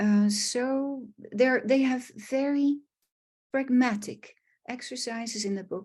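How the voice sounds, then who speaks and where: Against a quiet background, a woman with a Dutch accent talks at a very slow pace. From Netherlands. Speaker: art therapist. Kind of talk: online presentation. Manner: halting, with fillers.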